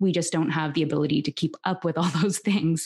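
With a Canadian accent, a woman speaks in an unremarkable speaking voice at a fairly low pitch and moderate pace, with ordinary pitch variation over a quiet background. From Canada, Toronto. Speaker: human design teacher and podcast host. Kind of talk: interview, teaching explanation.

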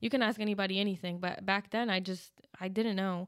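A woman speaks with an American accent at a medium pitch, in a plain, everyday voice. Her intonation stays fairly even. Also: very clean recording, silent background. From New Jersey. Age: 20s. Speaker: Marine Corps veteran. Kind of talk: interview.

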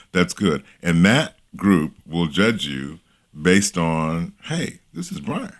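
At a very slow pace and with ordinary pitch variation, the voice makes big swings in loudness over a very clean recording with a silent background. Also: man, very deep, low pitch for a man. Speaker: workplace image coach. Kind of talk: casual interview conversation.

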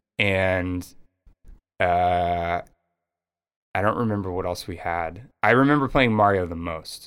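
On a very clean recording with a silent background, a man with a very deep, low pitch and ordinary pitch variation speaks fairly slowly with long, frequent pauses. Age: 30s. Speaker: podcast host. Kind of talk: casual chat.

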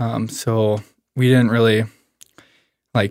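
In a very clean recording with a silent background, a man speaks with a western Canadian accent. His medium-pitched delivery is monotone and flat, at a fairly slow pace. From Canada, Alberta (Medicine Hat). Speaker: former college baseball player. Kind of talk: personal testimony in casual conversation.

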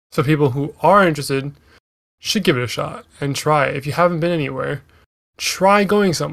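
Pitched fairly high, a man speaks at a fairly quick pace with a Canadian accent. His pitch variation is ordinary. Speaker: solo podcast host. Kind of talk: casual monologue. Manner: halting, many fillers.

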